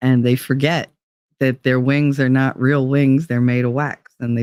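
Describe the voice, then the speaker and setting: With a New Jersey accent, a man speaks at a fairly slow pace and with fairly even intonation, the sound dry and close with no echo. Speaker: livestream host. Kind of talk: casual livestream chat reading comments.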